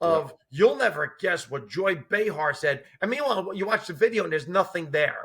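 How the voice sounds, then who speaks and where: A man with a high pitch, lively intonation, a moderate pace and hardly any pauses. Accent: New Jersey. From US, New Jersey. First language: Italian and Sicilian dialect. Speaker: former judge turned stand-up comedian. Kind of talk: casual chat. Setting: face-to-face podcast interview.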